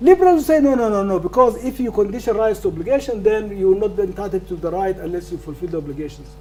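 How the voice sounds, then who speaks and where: Over noticeable background noise, a man talks at a very fast pace with a non-native accent. His pitch swings very widely. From northern Sudan. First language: not English. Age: 70s. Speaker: law professor. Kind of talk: lecture Q&A answer. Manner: halting, repetitive stammers.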